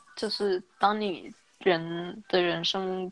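Here is a woman with a plain, everyday voice. Medium in pitch, it varies in an ordinary way. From China, Guangzhou. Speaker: young professional. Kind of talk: casual chat.

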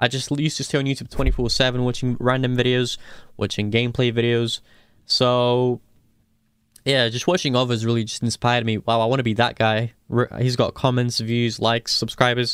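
A man at a medium pitch, fairly quick pace and monotone, flat intonation. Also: very clean recording, silent background. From Portugal, then England from age twelve. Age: 20s. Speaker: mobile esports player and YouTuber. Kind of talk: casual interview chat.

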